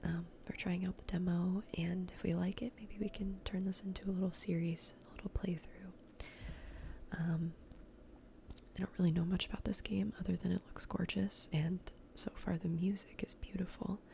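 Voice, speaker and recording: The voice is soft-spoken and relaxed in tone, at a moderate pace. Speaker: ASMR gaming content creator. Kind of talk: casual talk to camera, gameplay commentary. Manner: soft-spoken, relaxed.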